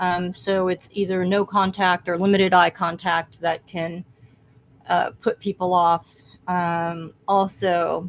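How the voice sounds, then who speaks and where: A woman's medium-pitched voice at a very slow pace, flat and monotone in intonation. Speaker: podcast co-host. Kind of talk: casual chat.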